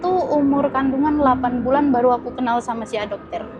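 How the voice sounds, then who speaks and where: Over music in the background, the speaker uses a Medan accent with fairly even intonation. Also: woman. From Indonesia, Medan (North Sumatra). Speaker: interviewee, young mother. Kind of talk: interview testimony.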